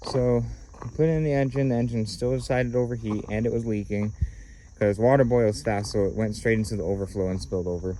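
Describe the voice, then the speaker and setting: Speaking at a very fast pace, a man with a fairly low pitch and a dark, mellow tone uses ordinary pitch variation, with audible room echo around him. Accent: American. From Texas and Idaho. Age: young. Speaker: vlogger. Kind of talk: casual vlog. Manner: hesitant, many fillers.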